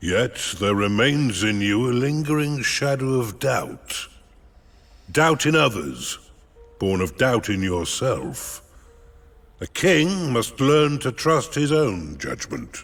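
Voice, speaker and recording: A man uses a put-on character voice at medium pitch. He talks at a fairly slow pace. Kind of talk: formal, archaic speech. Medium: video game. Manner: calm, stately, kindly.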